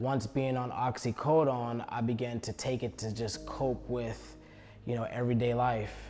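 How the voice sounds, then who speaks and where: Speaking at a moderate pace in an American accent, a man with medium pitch has a dark, mellow, somewhat breathy tone and monotone, flat intonation. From US Northeast, Philadelphia. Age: 20s. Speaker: recovery ministry outreach worker. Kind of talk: personal testimony. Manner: hesitant, with many fillers.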